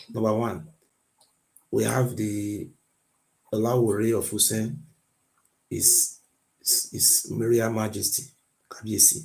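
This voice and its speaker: A man with a non-native accent at a very slow pace, with long, frequent pauses and fairly even intonation. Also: medium pitch for a man. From Nigeria, Benin area. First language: not English. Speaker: guest on a history debate. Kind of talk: heated debate. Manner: insistent, repetitive.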